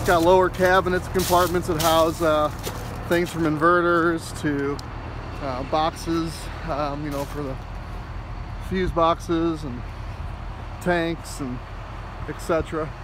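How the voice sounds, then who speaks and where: Speech moves very slowly with long, frequent pauses, in a dry sound with no echo and noticeable background noise. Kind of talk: casual walkaround commentary. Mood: proud, relaxed. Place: street. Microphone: phone near.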